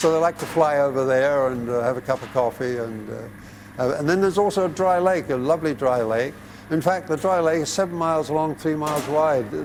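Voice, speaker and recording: Over noticeable background noise, a man talks at a fairly high pitch with ordinary pitch variation. His pace is fairly quick, with hardly any pauses. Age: 80s+. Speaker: retired pilot and airport owner. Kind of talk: interview. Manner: halting.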